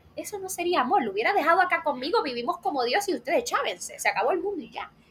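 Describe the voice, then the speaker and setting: Over noticeable background noise, a woman talks at a very fast pace in an animated tone. Her pitch is extremely high, with very wide pitch swings. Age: 20s. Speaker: psychology student, faith and mental health content creator. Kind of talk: casual interview chat.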